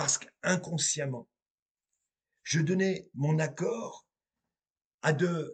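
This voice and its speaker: A man is speaking. His pace is very slow, with ordinary pitch variation. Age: 50s. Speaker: medium and tarot reader. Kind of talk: spiritual monologue to viewers.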